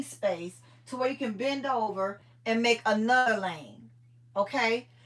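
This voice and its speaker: A woman's loud, animated, high-pitched voice at a fairly slow pace with ordinary pitch variation. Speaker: livestream host, organizing content creator. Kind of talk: casual live chat with viewers.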